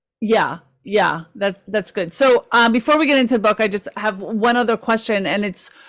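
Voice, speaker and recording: The voice moves at a moderate pace. It is an ordinary speaking voice. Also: woman. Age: 50s. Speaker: podcast host and author. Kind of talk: interview.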